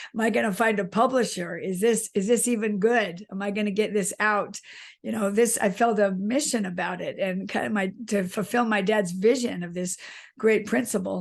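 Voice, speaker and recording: An unremarkable speaking voice from a woman, medium in pitch with fairly even intonation, over a quiet background. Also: moderate pace. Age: 60s. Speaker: author. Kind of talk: interview.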